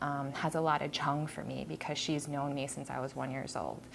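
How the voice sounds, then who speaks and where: Music plays in the background as a woman speaks. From United States, Korean immigrant family. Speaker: graphic design professor and artist. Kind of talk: artist talk about exhibition. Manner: hesitant, many filler words.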